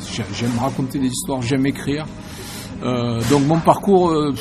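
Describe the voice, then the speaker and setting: A man speaking at a moderate pace in a Marseille accent, with audible room echo and noticeable background noise. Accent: southern French (Marseille). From Marseille, southern France. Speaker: novelist and musician. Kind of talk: interview. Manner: hesitant, many fillers.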